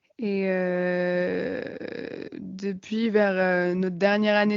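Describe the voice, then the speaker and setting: Her intonation is monotone and flat as a woman speaks at medium pitch. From France, Savoie. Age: 20s. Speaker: farmer, former engineer. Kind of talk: interview. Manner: hesitant, many fillers.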